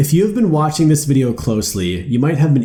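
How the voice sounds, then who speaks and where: A man's voice, somewhat breathy, carries a dark, mellow tone. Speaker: motivational YouTuber. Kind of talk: personal story narration for animated video.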